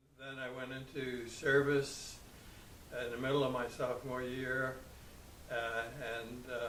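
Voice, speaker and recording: A man speaks in a monotone, flat intonation. Noticeable background noise and audible room echo fill the recording. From New York City, Brooklyn. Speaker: war veteran. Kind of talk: interview testimony. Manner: halting.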